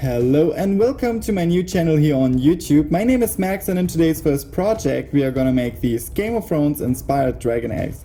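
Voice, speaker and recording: With a non-native accent, a man with a fairly high pitch talks at a fairly quick pace with lively intonation and hardly any pauses, against noticeable background noise. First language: not English. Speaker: DIY craft video maker. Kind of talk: tutorial.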